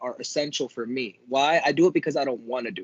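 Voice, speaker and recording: A man with an American accent, medium pitch and a normal speaking voice. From Miami, South Florida. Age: 20s. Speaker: jiu-jitsu competitor and instructor. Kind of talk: casual chat.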